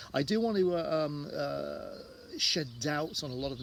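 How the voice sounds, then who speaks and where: A man with a southwest English accent sounds somewhat breathy, with audible room echo around him. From southwest England, Devon. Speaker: tour guide. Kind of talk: casual talk to camera. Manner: halting, many fillers.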